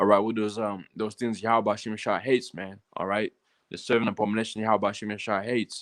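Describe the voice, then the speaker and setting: Against a quiet background, a man with a fairly low pitch speaks at a very fast pace in a monotone, flat delivery. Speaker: religious livestream teacher. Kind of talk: casual scripture teaching livestream. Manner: halting, many fillers and repetitions.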